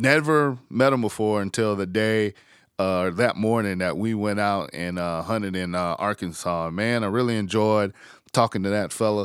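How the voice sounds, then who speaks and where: A man with a Southern US accent and a fairly low pitch talks at a moderate pace with ordinary pitch variation. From South Carolina. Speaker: podcast host. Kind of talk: casual chat. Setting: outdoors.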